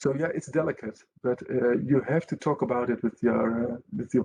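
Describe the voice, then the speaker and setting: With a non-native accent, a man talks at a moderate pace and medium pitch, showing ordinary pitch variation, a dark, mellow tone and vocal fry. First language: Dutch. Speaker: company representative. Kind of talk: webinar panel discussion. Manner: halting, many hesitations.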